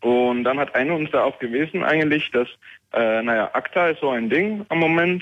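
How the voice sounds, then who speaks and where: A fairly high-pitched man's voice at a moderate pace, with lively intonation. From Netherlands. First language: Dutch (speaking German). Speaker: caller, hosting provider worker. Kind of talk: call-in. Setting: phone call. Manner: halting.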